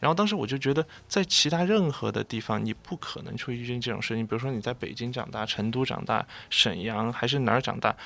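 With lively intonation and a bright, sharp tone, a man at a medium pitch speaks at a fairly quick pace in a very clean recording with a silent background. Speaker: graduate student. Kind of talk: radio panel discussion. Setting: radio studio.

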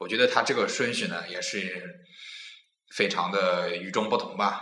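A man with a Nanjing accent amid audible room echo. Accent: Nanjing dialect, imperfect. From Nanjing, China. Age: 20s. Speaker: podcast host. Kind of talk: casual chat.

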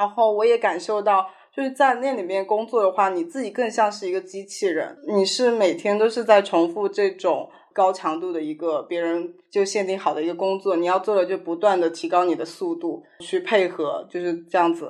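A woman talks in a normal speaking voice at a moderate pace. Her pitch sits in the medium range, and her intonation is lively. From Sichuan, China. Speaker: chef and restaurant manager. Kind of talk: casual interview chat.

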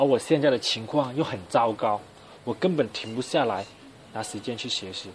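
A man's voice at medium pitch and moderate pace, with ordinary pitch variation and big swings in loudness. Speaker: university student podcaster. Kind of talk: casual solo monologue. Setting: alone in a dorm room.

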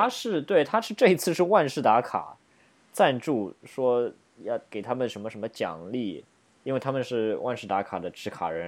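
On a very clean recording with a silent background, a man uses a normal speaking voice at a moderate pace with lively intonation. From Shanghai, China. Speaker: podcast co-host. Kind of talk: casual chat.

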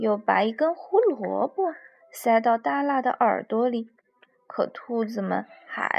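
Text is read aloud here in a natural voice.

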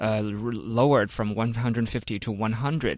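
A man speaks at a medium pitch with a Chinese accent. The recording is very clean, with a silent background. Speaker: radio co-host. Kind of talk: radio panel discussion. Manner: animated.

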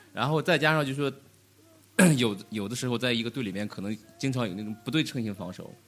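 A man at a medium pitch talks at a very fast pace, broken by long, frequent pauses. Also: ordinary pitch variation. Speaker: amateur basketball player. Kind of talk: casual chat.

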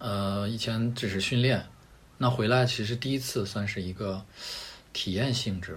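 Somewhat breathy, a man speaks at fairly low pitch and a fairly slow pace, his intonation fairly even. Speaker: rock climber and product manager. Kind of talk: casual interview chat.

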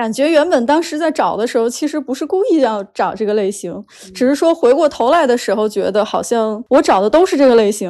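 Fairly quick, high-pitched speech from a woman with a dark, mellow tone, lively intonation and hardly any pauses. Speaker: podcast guest sharing dating stories. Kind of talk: casual chat. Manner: clear articulation.

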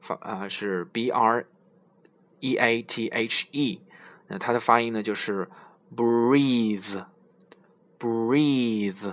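With long, frequent pauses, a man speaks at a very slow pace. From China. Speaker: English learning podcast host. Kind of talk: tutorial. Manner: halting, many filler sounds.

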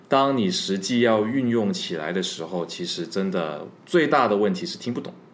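Over audible room echo, a man with a fairly low pitch talks at a moderate pace with very wide pitch swings and hardly any pauses. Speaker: overseas worker and former student abroad. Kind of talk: casual chat.

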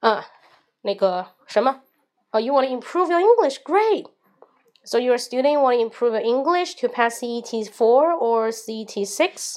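With a Chinese accent, a woman speaks at a high pitch and a very slow pace. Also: lively intonation. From China. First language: Mandarin Chinese. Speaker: English teacher and livestreamer. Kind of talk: livestream monologue. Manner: casual.

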